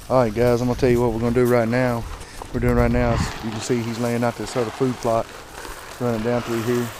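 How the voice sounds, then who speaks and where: A man's medium-pitched voice at a very fast pace in a monotone, flat intonation, with audible room echo and noticeable background noise. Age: 30s. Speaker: motorcycle vlogger. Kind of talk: casual outdoor vlog. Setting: outdoors.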